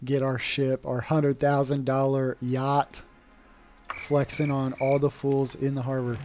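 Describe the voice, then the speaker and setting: Over music in the background, a man with a medium pitch speaks at a fairly slow pace in a monotone, flat intonation. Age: 30s. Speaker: video game streamer. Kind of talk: gameplay livestream commentary.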